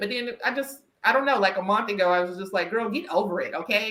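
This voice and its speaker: Speaking at a very fast pace, a woman with a slight Southern US accent uses a fairly high pitch and a bright, sharp tone. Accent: slight Southern country twang. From US South. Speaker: podcast host and career coach. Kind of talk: casual interview chat. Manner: animated, with frequent restarts.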